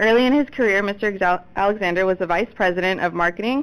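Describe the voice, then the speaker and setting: A woman talks at a very fast pace and medium pitch with ordinary pitch variation, in a very clean recording with a silent background. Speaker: water conservation specialist. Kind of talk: workshop introduction. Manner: reading aloud a bio.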